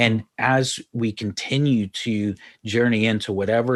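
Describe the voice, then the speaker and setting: On a very clean recording with a silent background, a man with an American accent has an unremarkable speaking voice, fairly low in pitch with ordinary pitch variation. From Texas, Houston. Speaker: marketing consultant. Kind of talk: radio interview.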